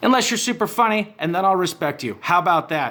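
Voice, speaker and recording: A man speaks loudly in an animated, bright, sharp tone with ordinary pitch variation. The recording is very clean with a silent background. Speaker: online commentary host. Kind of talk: rant monologue.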